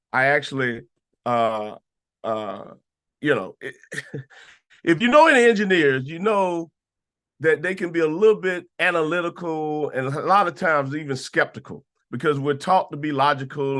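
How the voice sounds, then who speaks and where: A man's bright, sharp, fairly high voice in a Southern US accent, with ordinary pitch variation and long, frequent pauses against a quiet background. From US South, Atlanta, Georgia. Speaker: sales presenter. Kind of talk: sales pitch. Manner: casual, relaxed.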